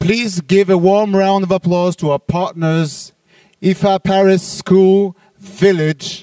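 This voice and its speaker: A man with a French accent speaks very slowly in a flat monotone at a high pitch. The sound is dry and close, with no echo. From France. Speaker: trade show organizer. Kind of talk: closing speech.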